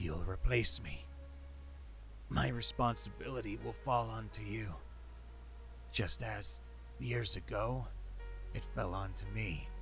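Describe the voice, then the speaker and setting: Over music in the background, a man does a put-on character voice that is croaky and wheezy, moving at a fairly slow pace with long, frequent pauses. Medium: audio drama. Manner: calm, persuasive.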